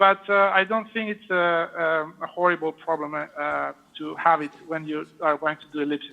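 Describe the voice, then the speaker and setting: High pitch from a man, with ordinary variation. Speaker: vascular surgeon performing live case. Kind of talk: live procedure commentary and Q&A. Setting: live video link from operating room. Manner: hesitant, many fillers.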